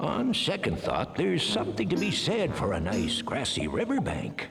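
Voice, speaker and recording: A man's cartoonish character voice at a moderate pace, with clear background noise. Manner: old-fashioned, bluff.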